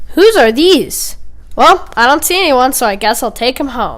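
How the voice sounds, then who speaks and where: High-pitched and cartoonish, this is a character voice. The pitch sits well up throughout. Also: moderate pace. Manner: casual, drawling.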